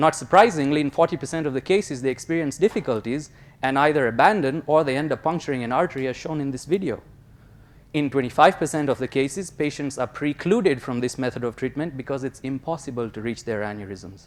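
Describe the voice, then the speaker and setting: In a very clean recording with a silent background, a man speaks at a fairly high pitch. He goes at a very fast pace with ordinary pitch variation. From Kenya, born in India. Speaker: graduate student researcher. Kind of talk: competition research talk; interview answer.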